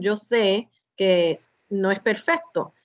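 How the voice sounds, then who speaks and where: The woman's voice is medium in pitch, with ordinary pitch variation. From United States, Spanish-speaking family. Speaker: guest, bilingual community member. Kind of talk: interview conversation. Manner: halting, with many fillers.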